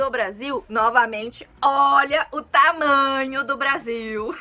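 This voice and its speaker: Music plays in the background as the speaker talks with a strong São Paulo accent. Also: woman. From São Paulo city, Brazil. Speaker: Portuguese teacher, youtuber. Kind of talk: casual educational chat to camera. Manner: informal, relaxed.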